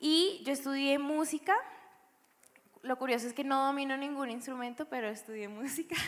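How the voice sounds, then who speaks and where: The woman's pitch is high and varies in an ordinary way. Her pace is moderate. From Bogotá, Colombia (born Valledupar, moved at seven). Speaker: church music producer. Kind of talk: panel interview testimony.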